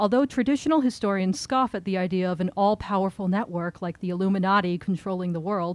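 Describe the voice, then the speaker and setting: A woman talks at a fairly quick pace. The sound is dry with no echo. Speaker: event host introducing the speaker. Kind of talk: reading a prepared introduction. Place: shop. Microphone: podium.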